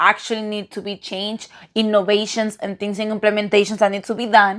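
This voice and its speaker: In a very clean recording with a silent background, a woman with a non-native accent speaks at a fairly high pitch. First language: non-native English speaker. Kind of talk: casual commentary to camera.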